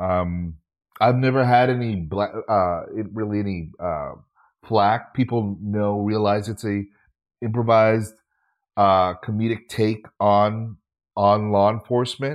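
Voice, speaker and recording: At a fairly slow pace and with fairly even intonation, the speaker uses an ordinary speaking voice. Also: man, fairly low pitch for a man. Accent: American. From Minnesota. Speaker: actor and comedian. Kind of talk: casual interview chat.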